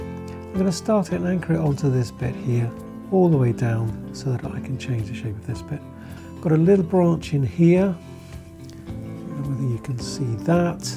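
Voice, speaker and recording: The talking moves at a moderate pace with music in the background. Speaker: bonsai teacher. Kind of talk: tutorial talk to camera.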